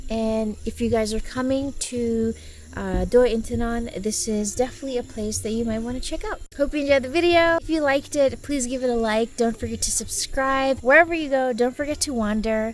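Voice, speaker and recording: A woman talks at a fairly quick pace with a high pitch, ordinary pitch variation and hardly any pauses, against noticeable background noise. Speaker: travel vlogger. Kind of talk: casual vlog tour.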